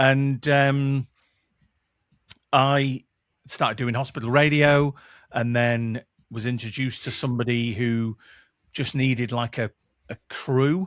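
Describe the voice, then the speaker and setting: With a Mancunian accent, a man talks at a medium pitch with fairly even intonation and long, frequent pauses, in a dry, close sound with no echo on a very clean recording with a silent background. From northern England, Manchester. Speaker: podcast producer and former radio presenter. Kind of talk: casual interview chat.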